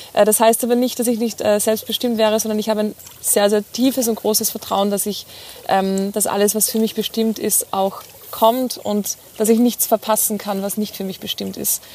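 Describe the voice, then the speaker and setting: A woman's fairly high, flat, monotone voice at a moderate pace, with noticeable background noise. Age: 30s. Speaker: occupational therapist and mindset coach. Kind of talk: casual interview. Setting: outdoors by the sea.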